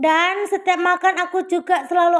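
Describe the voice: A woman talks at a moderate pace on a very clean recording with a silent background.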